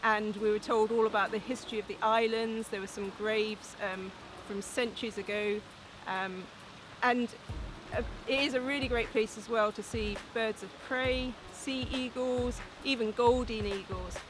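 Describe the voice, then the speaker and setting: The voice moves at a moderate pace with fairly even intonation. Noticeable background noise is present. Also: woman, fairly high pitch for a woman. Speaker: outdoors journalist and blogger. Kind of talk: casual promotional talk to camera. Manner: hesitant with frequent ums.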